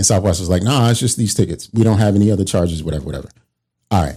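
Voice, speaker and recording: The voice has a dark, mellow tone with an American accent. It moves at a very fast pace with ordinary pitch variation. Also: man. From Baltimore, Maryland, US. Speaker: podcast co-host. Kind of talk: casual chat.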